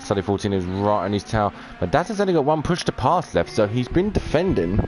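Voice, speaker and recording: Noticeable background noise surrounds a man whose fairly low voice moves at a moderate pace with lively intonation. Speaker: esports race commentator / live streamer. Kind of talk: live commentary. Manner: animated.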